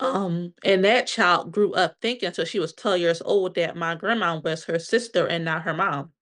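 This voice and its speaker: With an American accent, a woman with a plain, everyday voice speaks at a moderate pace and a fairly low pitch, with ordinary pitch variation and hardly any pauses. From Pennsylvania, Delaware County. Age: 30s. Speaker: podcast guest sharing personal trauma story. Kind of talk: interview testimony.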